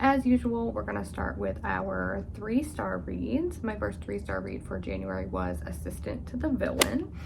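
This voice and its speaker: A soft-spoken woman talks in a room with audible echo. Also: moderate pace, hardly any pauses. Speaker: book youtuber. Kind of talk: casual vlog monologue. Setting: at home upstairs.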